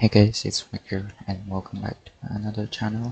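A soft-spoken man's fairly low voice at a moderate pace, in a monotone with flat intonation. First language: not English. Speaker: gaming YouTuber. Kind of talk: casual gameplay commentary. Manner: quiet, soft-spoken.

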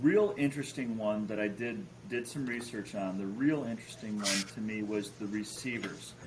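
Noticeable background noise accompanies moderately paced speech with an American accent. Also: man. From Chicago. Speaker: fantasy football podcast host. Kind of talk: casual chat. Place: home room.

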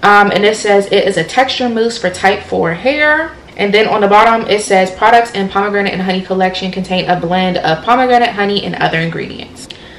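Light background noise and audible room echo surround a woman speaking with ordinary pitch variation. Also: fairly quick pace. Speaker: hair care vlogger. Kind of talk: casual vlog chat, product review. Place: home room.

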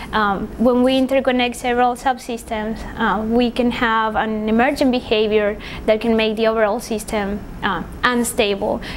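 A woman with a Spanish accent speaks at a fairly high pitch and moderate pace, in monotone, flat intonation with very even loudness, over noticeable background noise. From Paraguay. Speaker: engineering PhD graduate. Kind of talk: interview. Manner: hesitant, many fillers.

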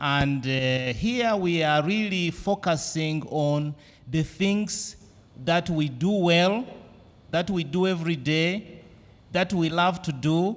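A man with a Ugandan accent speaks at a very slow pace and a fairly high pitch, with ordinary pitch variation. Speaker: academic and event moderator. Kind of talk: moderating an academic symposium. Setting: symposium with audience. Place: meeting room.

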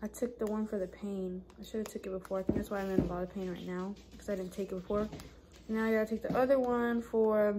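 A woman talking at a very fast pace amid loud background noise. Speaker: vlogger. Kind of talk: casual vlog chat. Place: home room. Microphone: phone near.

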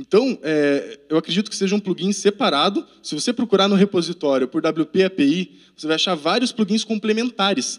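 A man speaks with a quiet background. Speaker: conference speaker, web developer; conference presenter. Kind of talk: tech talk. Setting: conference room with audience. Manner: fast. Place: classroom. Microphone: handheld.

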